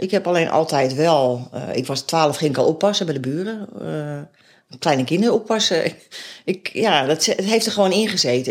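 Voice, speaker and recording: Speaking at a fairly quick pace, a woman sounds lively in her intonation. Her pitch rises and falls freely. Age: 50s. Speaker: local politician and foster parent. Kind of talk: interview. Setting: at home. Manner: halting.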